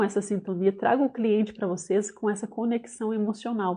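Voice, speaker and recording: A woman talks at a moderate pace in an ordinary speaking voice, pitched fairly high. Her pitch varies in an ordinary way. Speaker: business owner and trainer. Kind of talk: online class. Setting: live online session.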